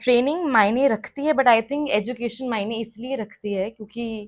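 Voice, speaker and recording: A woman's speech unfolds at a medium tempo, her pitch varying in a normal way. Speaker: radio jockey and singer. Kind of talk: interview answer. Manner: upbeat.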